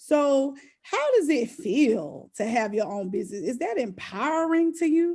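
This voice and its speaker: The voice has a dark, mellow tone and a fairly slow pace. Its pitch swings very widely. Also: woman, high pitch for a woman. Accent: Southern US. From US South. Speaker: podcast host. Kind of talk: casual interview chat.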